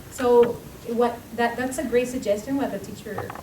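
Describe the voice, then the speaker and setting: A strong Spanish accent at a moderate pace, with noticeable background noise and audible room echo. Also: woman. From Latin America, not Bolivia. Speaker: school staff member. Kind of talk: parent meeting discussion.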